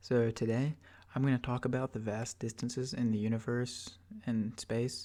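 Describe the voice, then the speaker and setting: Soft-spoken and relaxed, a man speaks at a moderate pace and medium pitch in a dark, mellow tone with monotone, flat intonation. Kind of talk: ASMR soft-spoken educational ramble. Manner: soft-spoken, relaxed, rambling.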